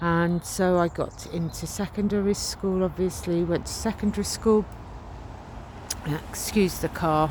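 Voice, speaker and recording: Here a woman speaks in a southern English accent at a fairly low pitch. Her pace is fairly slow and her intonation fairly even. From England, Hertfordshire (Cuffley), Greek Cypriot family. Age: 50s. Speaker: author and healing minister. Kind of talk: personal testimony. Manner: hesitant, many fillers.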